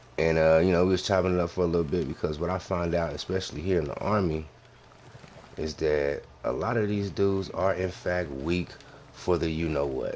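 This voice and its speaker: Very deep, low male pitch, fairly quick, the intonation fairly even. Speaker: gaming live streamer and soldier. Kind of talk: casual chat during live game stream. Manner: talking low.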